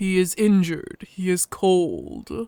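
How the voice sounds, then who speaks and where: At a fairly slow pace, a put-on character voice speaks at a middle pitch. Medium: read story. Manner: terse, formal, no contractions.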